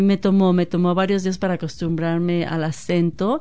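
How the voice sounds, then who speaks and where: A woman of medium pitch speaks at a fairly slow pace amid noticeable background noise. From Mexico, Guadalajara. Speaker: former community group chair. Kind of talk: radio interview.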